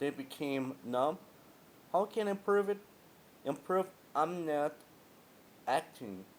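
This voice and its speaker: A man with a fairly high voice speaks very slowly, leaving long, frequent pauses. His pitch swings very widely. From Guatemala. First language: Spanish. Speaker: vlogger, former customer care agent. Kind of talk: personal monologue vlog. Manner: halting.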